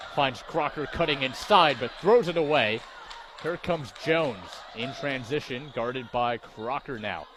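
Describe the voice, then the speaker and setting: The speech moves at a moderate pace with lively intonation. Noticeable background noise runs underneath. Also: man. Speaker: sports play-by-play broadcaster. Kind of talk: live sports play-by-play commentary. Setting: arena broadcast.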